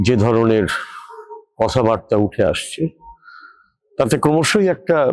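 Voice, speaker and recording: The clip has an unremarkable speaking voice with lively intonation. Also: man, medium pitch for a man. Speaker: poet and professor. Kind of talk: opinion commentary to camera.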